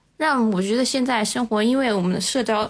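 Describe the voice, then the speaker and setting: Ordinary pitch variation in a normal speaking voice at a fairly quick pace. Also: woman. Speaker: civil servant. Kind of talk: casual chat.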